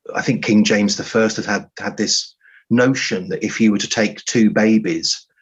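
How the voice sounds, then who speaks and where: A speaker with an English accent talks at a moderate pace, with ordinary pitch variation. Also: man. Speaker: writer. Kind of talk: interview. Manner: halting.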